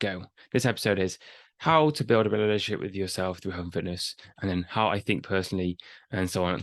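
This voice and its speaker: A mumbling man with a very deep, low pitch, ordinary pitch variation and a very fast pace, in a dry, close sound with no echo and a quiet background. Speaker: fitness coach and podcast host. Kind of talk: casual podcast monologue. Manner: unscripted, halting.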